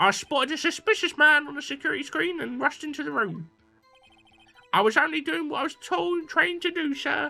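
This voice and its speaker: Over faint music in the background, a woman uses a put-on character voice at a fairly quick pace. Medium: game stream. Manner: eager, says sir constantly.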